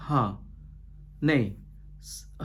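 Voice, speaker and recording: A man's voice with audible room echo. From India, Goa. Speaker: pastor. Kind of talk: sermon. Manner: halting, frequent fillers and restarts.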